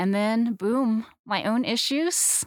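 A woman speaks with a West Coast US accent and ordinary pitch variation. The sound is dry and close with no echo, on a very clean recording with a silent background. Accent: General American, West Coast. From Southern California. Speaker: biblical counselor, former psychologist. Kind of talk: interview, personal testimony.

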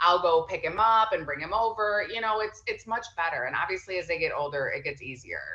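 A woman at medium pitch and a fairly quick pace, lively intonation, hardly any pauses, over noticeable background noise. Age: 30s. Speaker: entrepreneur and mother. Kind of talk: casual chat.

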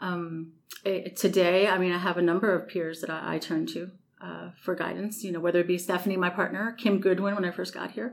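Her pitch is fairly low and shows vocal fry. The woman talks at a fairly quick pace with fairly even intonation. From New York City. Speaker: maintenance director. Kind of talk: interview.

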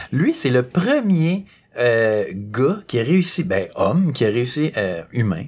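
A man with a Quebec accent speaks very slowly in a somewhat breathy voice, his pitch swinging very widely. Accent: Québécois French. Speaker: podcast host. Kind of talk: casual chat.

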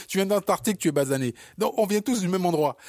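A man's high-pitched voice with an animated tone and lively intonation, in a very clean recording against a silent background. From born in Africa, raised in Paris. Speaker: podcast co-host, entrepreneur. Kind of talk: casual chat. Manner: halting.

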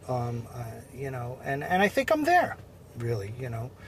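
A male voice with a Long Island accent. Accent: Long Island New York. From Long Island, New York. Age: 50s. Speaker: basketball coach. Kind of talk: casual interview. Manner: halting, many fillers.

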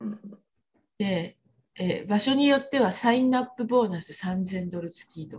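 Somewhat breathy and at a medium pitch, a woman speaks at a moderate pace with lively intonation. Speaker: podcast host. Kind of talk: casual chat. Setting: video call.

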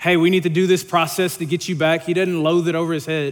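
A man speaks with a Louisiana accent at a fairly quick pace. His pitch is high and his intonation fairly even. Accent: Southern US (Louisiana). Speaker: young adult ministry leader preaching. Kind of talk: sermon. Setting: church stage.

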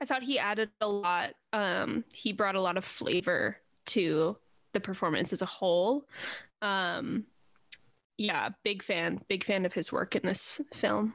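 With a normal speaking voice, a woman talks at a fairly slow pace and medium pitch, her loudness very even and her pitch varying in an ordinary way, on a very clean recording with a silent background. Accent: American. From New Jersey (Montclair). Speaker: podcast co-host. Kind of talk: casual chat.

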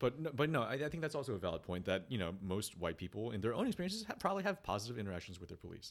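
A man at a medium pitch talks at a very fast pace, his pitch swinging very widely and hardly any pauses breaking his speech. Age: 30s. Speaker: podcast co-host. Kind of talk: casual chat.

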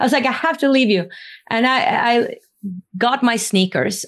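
A woman speaks with a Norwegian accent and lively intonation. Her pace is moderate, and the background is quiet. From Norway. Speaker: spiritual interviewer and former musical theater artist. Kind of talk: casual interview.

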